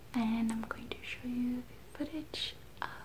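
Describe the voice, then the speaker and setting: The voice belongs to a woman, and she is whispering. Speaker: video creator. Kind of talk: soft-spoken casual vlog chat. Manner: soft-spoken ASMR voice, close to mic. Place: home room. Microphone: phone near.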